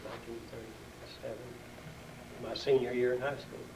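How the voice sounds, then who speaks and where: Monotone, flat intonation from a man at a medium pitch, with audible room echo and noticeable background noise. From Oklahoma. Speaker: town elder interviewed about local history. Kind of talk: oral history interview.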